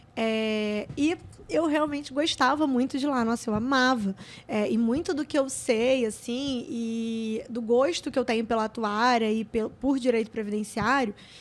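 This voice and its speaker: Fairly slow speech from a woman, high in pitch, with ordinary pitch variation. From Rio de Janeiro, Méier suburb. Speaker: public auditor. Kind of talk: interview testimony.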